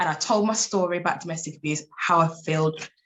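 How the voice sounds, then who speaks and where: Her voice somewhat breathy, a woman talks at a moderate pace in an animated tone with lively intonation. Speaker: life coach and abuse survivor speaker. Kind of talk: interview testimony.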